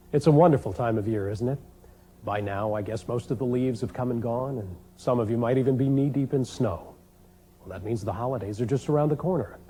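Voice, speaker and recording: A somewhat breathy voice with a dark, mellow tone at a very fast pace, with ordinary pitch variation. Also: man, medium pitch for a man. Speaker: TV host. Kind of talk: infomercial host introduction.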